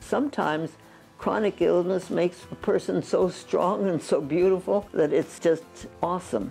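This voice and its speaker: Over faint background music, a woman talks at a moderate pace in a fairly low voice, her loudness very even and her pitch variation ordinary. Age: 80s+. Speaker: physician. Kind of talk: interview answer. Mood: warm, reflective. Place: home room. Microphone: lapel.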